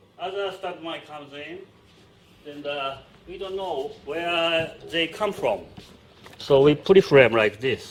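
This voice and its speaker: Delivered very slowly in a Japanese accent, the speech has long, frequent pauses, big swings in loudness and ordinary pitch variation. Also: man, high pitch for a man. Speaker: stunt director. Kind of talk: interview; on-set demonstration. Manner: halting.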